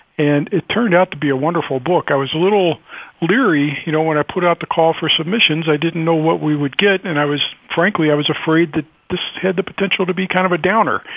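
With an American accent, the speaker talks at a very fast pace with very even loudness over noticeable background noise. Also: man, high pitch for a man, ordinary pitch variation. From US South, Louisville, Kentucky. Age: 60s. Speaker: writer and publisher. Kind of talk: radio interview. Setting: radio show. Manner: hesitant, many fillers.

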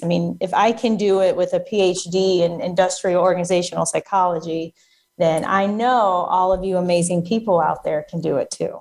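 In a very clean recording with a silent background, a woman with medium pitch uses a normal speaking voice, moving at a moderate pace with fairly even intonation and hardly any pauses. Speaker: federal contracting coach. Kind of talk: interview explaining business advice.

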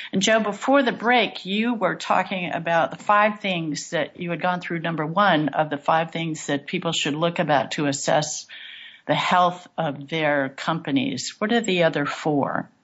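Using an ordinary speaking voice, a woman talks at a moderate pace with a fairly low pitch and lively intonation. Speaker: radio host. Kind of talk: radio talk show hosting.

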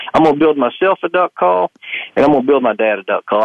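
A man's fairly high, fairly quick voice with lively intonation. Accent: Southern US. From Arkansas, US South. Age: young. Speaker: duck call maker. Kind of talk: interview. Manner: halting, many repetitions.

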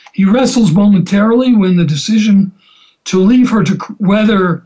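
An unforced reading voice carries the text.

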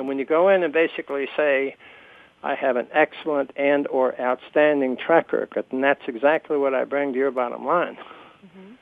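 A normal speaking voice with an American accent, at a moderate pace and with fairly even intonation. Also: man, fairly high pitch for a man. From New Jersey. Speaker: radio host and career coach. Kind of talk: radio interview.

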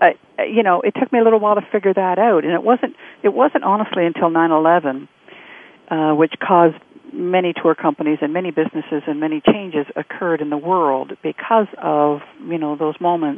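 This is a plain, everyday voice. A woman talks fairly quickly in a fairly low pitch with ordinary pitch variation. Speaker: coach and storyteller. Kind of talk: casual conversational interview.

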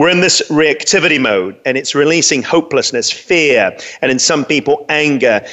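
Over noticeable background noise, a speaker with a London accent keeps a moderate pace, very even loudness and ordinary pitch variation. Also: man, fairly high pitch for a man. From London, England. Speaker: pastor and radio host. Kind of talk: solo talk radio monologue.

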